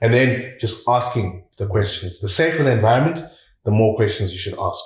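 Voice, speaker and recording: A somewhat breathy male voice at medium pitch, fairly quick in pace, with ordinary pitch variation and audible room echo. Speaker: communication coach. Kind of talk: podcast interview.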